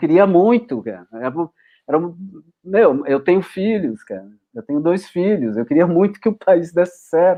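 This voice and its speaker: At a moderate pace, a man speaks in a high pitch. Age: 60s. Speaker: film editor. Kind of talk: casual chat. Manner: halting, many false starts and repetitions.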